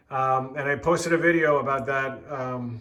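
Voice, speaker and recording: In a room with audible echo, a man talks at a fairly slow pace, his fairly high pitch held in fairly even intonation. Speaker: model railroad hobbyist video maker. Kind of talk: casual video walkthrough. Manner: hesitant, many fillers.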